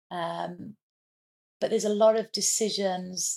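A woman with a Welsh accent speaks at a very slow pace with fairly even intonation. The sound is dry and close, with no echo. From Wales. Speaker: entrepreneur. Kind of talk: interview.

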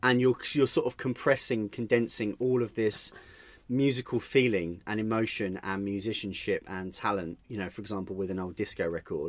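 In a normal speaking voice, a man talks at a moderate pace with a fairly low pitch and ordinary pitch variation on a very clean recording with a silent background. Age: 30s. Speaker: DJ and music producer. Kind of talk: interview. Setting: home studio.

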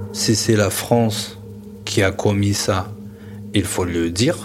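Music plays in the background as a man speaks at a very slow pace. His pitch is fairly low, with ordinary variation. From Algeria, Kabylie. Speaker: interviewee sharing family history. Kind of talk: personal testimony. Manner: hesitant, with fillers and repetitions.

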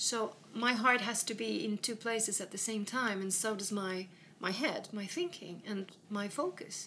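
A woman with a Swedish accent speaks at a moderate pace and fairly high pitch. Her tone is bright and sharp, with ordinary pitch variation. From west coast of Sweden. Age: 50s. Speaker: businesswoman. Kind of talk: casual chat. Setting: in a home.

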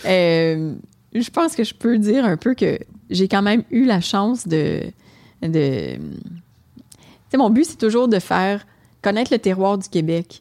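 Speaking at a very slow pace with a Quebec accent, a woman has a dark, mellow tone and lively intonation. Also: medium pitch for a woman. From Quebec, Hull (Gatineau). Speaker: restaurant owner. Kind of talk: casual chat.

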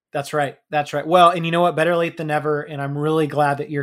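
A man with an American accent speaks at a fairly high pitch in a flat monotone. The recording is very clean with a silent background. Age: 30s. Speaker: financial advisor and author. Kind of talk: interview.

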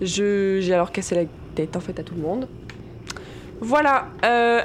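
A woman at a fairly slow pace with ordinary pitch variation, over noticeable background noise. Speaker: podcast co-host, role-playing game player. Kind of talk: casual banter, role-playing game.

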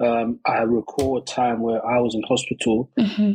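A man speaks in a London accent. The sound is dry and close, with no echo. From East London. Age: 30s. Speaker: rapper and youth worker. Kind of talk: interview. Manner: halting, many fillers.

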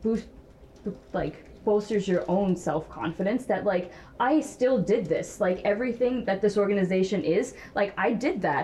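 A woman talks at a moderate pace in a medium pitch with noticeable background noise. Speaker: tech startup founder. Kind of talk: panel discussion. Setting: stage with audience.

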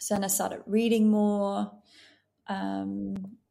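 A woman speaks at a very slow pace in a Dutch accent. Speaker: end of life doula. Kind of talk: casual interview chat. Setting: video call from home in Australia.

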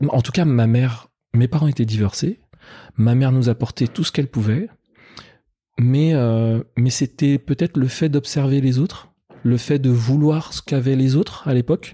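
A man at medium pitch with a dark, mellow, somewhat breathy tone, moderate pace, ordinary pitch variation and long, frequent pauses, in dry, close sound with no echo on a very clean recording with a silent background. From Paris suburbs, France (Colombes, housing estate). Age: 30s. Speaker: entrepreneur, company founder. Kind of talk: interview conversation. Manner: halting, many repetitions.

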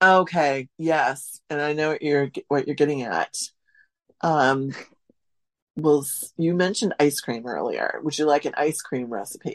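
A woman with an American accent speaks at a fairly slow pace over a quiet background. Her pitch is very deep and low, with ordinary variation. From US Midwest, central Wisconsin. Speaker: food historian and author. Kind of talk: casual interview. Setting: remote call.

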